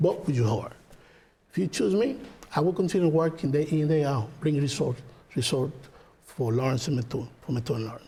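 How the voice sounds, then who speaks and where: A fairly quick pace with ordinary pitch variation and long, frequent pauses. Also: man, fairly high pitch for a man. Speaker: political candidate, lawyer. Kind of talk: closing statement.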